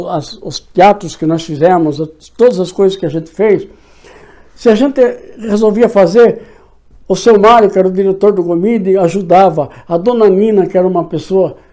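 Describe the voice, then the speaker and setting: Speaking at a moderate pace with long, frequent pauses, a man with a high pitch has a dark, mellow tone and ordinary pitch variation. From Brazil, São Paulo state interior (São Miguel Arcanjo). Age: 60s. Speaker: local historian and writer. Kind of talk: interview reminiscence. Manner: halting, with many restarts.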